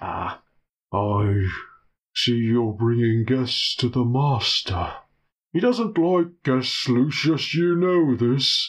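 Doing a put-on character voice at a medium pitch, a man speaks at a very slow pace with long, frequent pauses. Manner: stern, disapproving.

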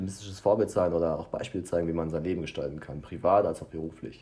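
A man talks at a very fast pace in a very deep, low pitch, his tone dark and mellow and his intonation fairly even. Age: 20s. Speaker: podcast co-host. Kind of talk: casual chat. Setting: small apartment. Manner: halting, searches for words.

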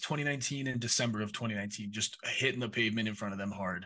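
Against a quiet background, a man with an American accent speaks in a bright, sharp tone with ordinary pitch variation. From Minnesota. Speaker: esports partnerships director. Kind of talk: interview.

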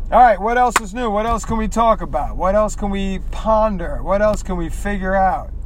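High-pitched male speech at a moderate pace with fairly even intonation, hardly any pauses and noticeable background noise. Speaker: podcaster. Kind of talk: casual monologue while driving. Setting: in a car.

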